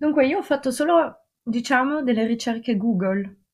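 A woman speaks with lively intonation and a somewhat breathy voice in a very clean recording with a silent background. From Russia. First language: French and Russian (speaking Italian). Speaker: art history graduate. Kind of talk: casual podcast discussion. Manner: hesitant, searching for words.

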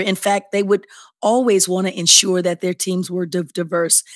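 A plain, everyday voice with an American accent and fairly even intonation, dry and close with no echo, in a very clean recording with a silent background. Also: woman. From Chicago. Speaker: nonprofit association CEO. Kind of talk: interview.

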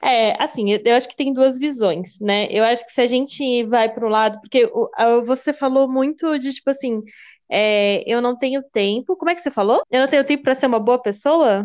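Against a quiet background, a woman with a high voice talks at a moderate pace with ordinary pitch variation. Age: 20s. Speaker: podcast co-host. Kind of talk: casual chat.

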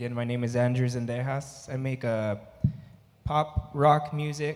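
A man talks at a fairly slow pace in a medium pitch. He has a plain, everyday voice and fairly even intonation. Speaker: audience member and podcaster. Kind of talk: audience question. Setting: stage with audience.

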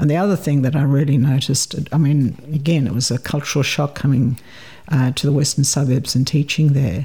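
A woman with a slight South African accent speaks at a fairly quick pace in a very deep, low pitch, somewhat breathy and dark and mellow in tone. Her intonation is fairly even and her loudness very even. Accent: South African English, fairly light. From South Africa, Port Elizabeth. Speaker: retired person, film festival volunteer. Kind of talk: casual interview chat about migration.

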